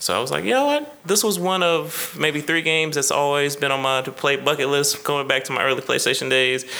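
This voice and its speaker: At a fairly quick pace, a man talks at a medium pitch with ordinary pitch variation over noticeable background noise. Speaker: podcast co-host. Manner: casual, conversational.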